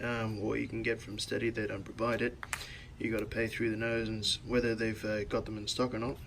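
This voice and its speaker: Against noticeable background noise, a man with a medium pitch speaks at a fairly quick pace in a monotone, flat way. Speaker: car modding vlogger. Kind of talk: tutorial. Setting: voiceover. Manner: casual, hesitant with fillers.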